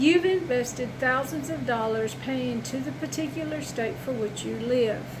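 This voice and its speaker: A woman talks at a moderate pace with hardly any pauses and very wide pitch swings, with audible room echo and noticeable background noise. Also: medium pitch for a woman. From Arkansas, grew up there, moved to East Tennessee at 18. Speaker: compliance consultant. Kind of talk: tutorial. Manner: conversational, folksy.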